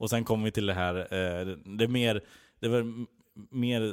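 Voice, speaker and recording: In a fairly low pitch with fairly even intonation, a man speaks on a very clean recording with a silent background. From Skara, Västergötland, Sweden. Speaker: comedy writer. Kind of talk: casual chat.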